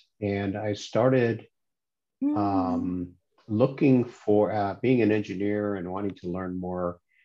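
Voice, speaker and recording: Intonation here is fairly even. The delivery is very slow. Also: man, fairly low pitch for a man. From moved around the world as a Navy child. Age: 60s. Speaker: retired engineer, meditation practitioner. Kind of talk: interview. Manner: halting, with fillers.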